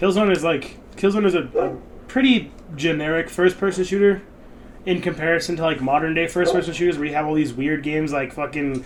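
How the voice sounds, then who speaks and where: Speaking at a fairly quick pace, a man holds a high pitch with ordinary pitch variation. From rural area. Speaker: podcast co-host. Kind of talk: casual chat. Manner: loud.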